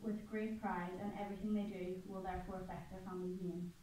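A woman speaks at a fairly quick pace. Audible room echo and light background noise are present. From Ireland. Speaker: student presenter. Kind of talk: class presentation. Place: classroom. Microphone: camera far.

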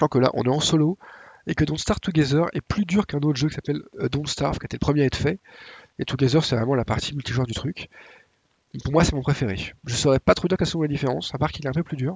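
A man talks at a very fast pace in a fairly high pitch, somewhat breathy. His pitch varies in an ordinary way. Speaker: gaming YouTuber. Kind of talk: tutorial. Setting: home recording, gameplay voiceover. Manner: casual, hesitant with fillers.

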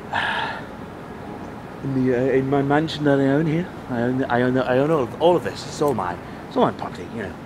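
A man's medium-pitched voice with an English accent, a very fast pace broken by long, frequent pauses, ordinary pitch variation, and noticeable background noise. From England. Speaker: comedy vlogger. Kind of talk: casual live vlog. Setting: outdoors on a rooftop. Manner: rambling and repetitive; animated.

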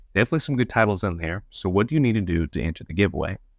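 A man's voice comes through dry and echo-free, with noticeable noise in the background. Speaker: channel host. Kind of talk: casual vlog chat. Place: home room. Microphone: lapel.

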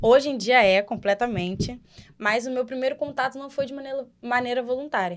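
Against a quiet background, a woman with a high pitch speaks at a fairly quick pace, showing ordinary pitch variation and big swings in loudness. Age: 20s. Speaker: Umbanda practitioner. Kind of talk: casual podcast discussion on religion. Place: studio. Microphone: studio mic.

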